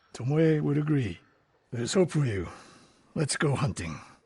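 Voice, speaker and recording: Putting on a character voice, a man speaks at a moderate pace with a raspy, fairly high pitch and very wide pitch swings. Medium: video game. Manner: terse, measured.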